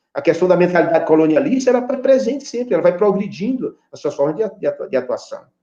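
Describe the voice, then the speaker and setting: A man with a high pitch, talking at a very fast pace with very wide pitch swings. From Brazil, Piauí (Floriano). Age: 60s. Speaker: poet and university professor. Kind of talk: interview. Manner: halting, many repetitions and fillers.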